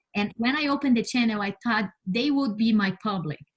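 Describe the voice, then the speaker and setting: A woman in a Brazilian Portuguese accent speaks at a moderate pace and a fairly high pitch. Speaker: space scientist. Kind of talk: interview. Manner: halting, with many fillers and repeats.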